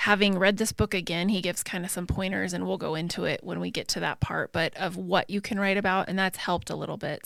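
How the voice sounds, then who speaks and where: Vocal fry runs through very fast speech with hardly any pauses and fairly even intonation, in a very clean recording with a silent background. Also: woman. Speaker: podcast co-host. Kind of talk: casual chat.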